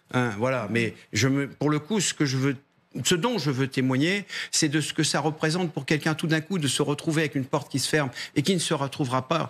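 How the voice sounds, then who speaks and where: The intonation is lively and the pace fairly quick. The recording is very clean, with a silent background. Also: man. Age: 60s. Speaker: trade union leader. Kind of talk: TV panel debate. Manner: hesitant, repeats words.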